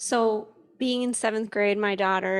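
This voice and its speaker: In an ordinary speaking voice, a woman with an American accent talks at a moderate pace, her pitch fairly high with ordinary variation, on a very clean recording with a silent background and a dry, close sound with no echo. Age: 40s. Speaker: parent and church member. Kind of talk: church service panel talk.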